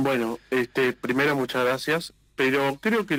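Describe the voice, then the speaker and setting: This man has a medium pitch and ordinary pitch variation, speaking at a very slow pace. The recording is very clean with a silent background, and the sound is dry and close with no echo. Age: 20s. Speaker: political activist. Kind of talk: political interview.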